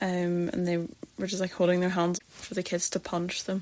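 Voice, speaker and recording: A woman with a Northern Irish accent and a medium pitch. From Northern Ireland. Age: 20s. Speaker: podcast host. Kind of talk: personal storytelling podcast.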